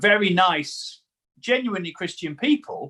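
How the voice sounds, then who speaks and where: A man with a Staffordshire accent, a bright, sharp tone and lively intonation, at a fairly slow pace. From English Midlands, Newcastle-under-Lyme, Staffordshire. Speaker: comedian and preacher. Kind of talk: casual interview chat.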